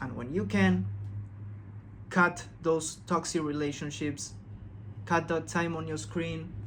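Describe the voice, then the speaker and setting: This man has a non-native accent and a somewhat breathy voice. He talks at a fairly slow pace with ordinary pitch variation. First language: not English. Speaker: self-help video creator. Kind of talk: casual motivational talk. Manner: calm.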